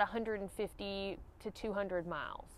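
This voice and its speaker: A woman's voice with a dry sound and no echo. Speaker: hiking gear reviewer. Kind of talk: gear review vlog. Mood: relaxed, friendly. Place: waterside.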